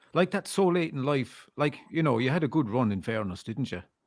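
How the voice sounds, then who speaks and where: This man talks at a moderate pace with an Irish accent, his medium-pitched voice showing very wide pitch swings and vocal fry. The recording is very clean, with a silent background. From Ireland. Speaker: podcast host. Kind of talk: interview.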